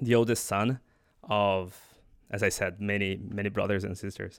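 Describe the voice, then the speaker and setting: At a moderate pace and fairly low pitch, a man talks in a Portuguese accent on a very clean recording with a silent background. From central Brazil (Goiás). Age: 30s. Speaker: podcast host, programming languages researcher. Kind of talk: solo reflective monologue. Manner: halting, with frequent repetitions.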